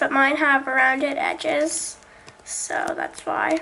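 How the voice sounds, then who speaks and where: A woman speaks in a raised, projected voice at a high pitch with flat, monotone intonation over noticeable background noise. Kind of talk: craft tutorial talk to camera. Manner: casual, hesitant.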